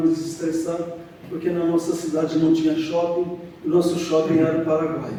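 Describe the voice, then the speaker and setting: A man with a high-pitched voice speaks over noticeable background noise, with audible echo from the room. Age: 70s. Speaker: church member giving testimony. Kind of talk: testimony. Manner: halting.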